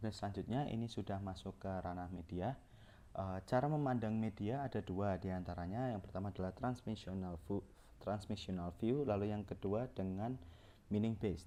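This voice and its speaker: Fairly quick speech from a man with a dark, mellow tone, fairly low pitch and ordinary pitch variation. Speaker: university student. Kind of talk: student presentation lecture. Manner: halting, with restarts and fillers.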